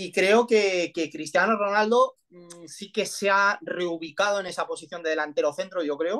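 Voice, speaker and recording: This man talks at a fairly slow pace with hardly any pauses, his high voice bright and sharp, his loudness swinging widely, his pitch varying in an ordinary way, over a quiet background. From Spain. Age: 30s. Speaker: football coach. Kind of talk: interview analysis. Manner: halting, many fillers. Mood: calm analytical. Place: home room. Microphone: video call.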